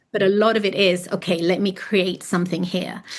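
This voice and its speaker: Against a quiet background, a woman with an English accent speaks at a medium pitch with fairly even intonation. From London, England (born in Florence, moved at seven). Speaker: artist and author. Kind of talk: podcast interview.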